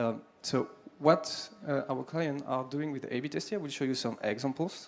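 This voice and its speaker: Noticeable background noise sits behind a man speaking with a French accent. His pitch is fairly high, with ordinary variation. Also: moderate pace. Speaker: sales executive. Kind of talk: conference pitch. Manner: halting.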